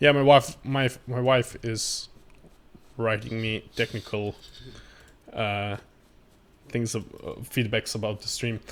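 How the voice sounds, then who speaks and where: Very slowly, a man at medium pitch speaks with long, frequent pauses. His intonation is fairly even. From Croatia. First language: Croatian. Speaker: gaming streamer. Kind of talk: live gameplay commentary. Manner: halting.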